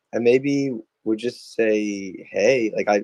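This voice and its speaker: At a very slow pace, a man talks at a medium pitch, the sound dry and close with no echo. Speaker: X Spaces participant. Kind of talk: casual chat. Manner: loud; halting.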